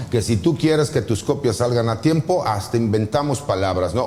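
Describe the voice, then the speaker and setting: A man with lively intonation and a medium pitch talks fairly quickly. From Mexico, various states. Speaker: lawyer and judicial candidate. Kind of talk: interview. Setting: studio. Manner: direct, forceful.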